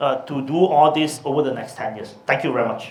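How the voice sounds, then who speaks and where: A man speaks at a moderate pace with a Chinese accent. Noticeable background noise and audible room echo surround his voice. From Malaysia, Subang Jaya near Kuala Lumpur. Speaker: politician. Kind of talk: policy talk; Q&A answer. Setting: talk with audience at a law firm. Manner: hesitant with fillers.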